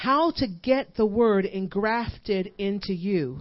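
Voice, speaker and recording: An unremarkable speaking voice from a woman, fairly high in pitch, with lively intonation. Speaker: guest preacher and worship leader. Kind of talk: sermon, building to impassioned exhortation with congregation call-and-response. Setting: church service before a live congregation. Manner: hammering, repetitive drive, piling up 'you push it in' with rising intensity.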